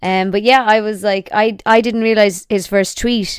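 This woman has a medium pitch. She speaks in an Irish accent. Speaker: YouTuber and podcaster. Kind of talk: casual chat.

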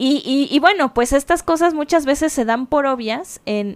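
An unremarkable speaking voice from a woman, with lively intonation at a fairly slow pace, in a very clean recording with a silent background. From Mexico City. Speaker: podcast co-host, conservator. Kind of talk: casual chat.

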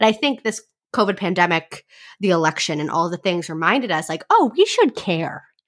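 A woman with an unremarkable speaking voice talks at a medium pitch and fairly quick pace. Her intonation is lively, on a very clean recording with a silent background. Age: 20s. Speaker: podcast host, college student. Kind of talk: casual chat; podcast outro.

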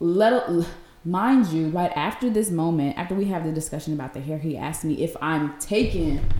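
An animated woman's voice, fairly low in pitch with ordinary pitch variation, over noticeable background noise. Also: moderate pace. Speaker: podcast co-host. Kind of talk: casual chat.

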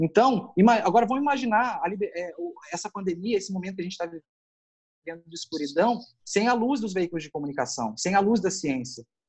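Pausing long and often, a man with a high pitch makes very wide pitch swings and big swings in loudness. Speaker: journalist and photographer. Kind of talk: casual chat.

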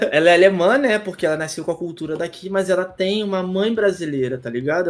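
A man's high-pitched voice with a Rio de Janeiro accent, ordinary pitch variation, and noticeable background noise. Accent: Carioca Brazilian Portuguese. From Brazil, Rio de Janeiro. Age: 20s. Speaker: youtuber and tattoo artist. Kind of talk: casual podcast chat. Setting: remote call from abroad.

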